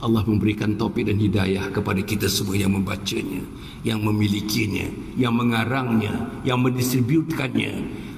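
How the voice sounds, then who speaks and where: The speech comes at a moderate pace and very even loudness, with audible room echo and noticeable background noise. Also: man, fairly low pitch for a man, fairly even intonation. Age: 70s. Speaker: Islamic preacher, former politician. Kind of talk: religious lecture. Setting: mosque.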